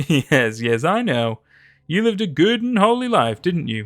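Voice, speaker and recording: A man cackles in a put-on character voice, fairly high in pitch with very wide pitch swings, at a moderate pace. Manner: cackling, mocking.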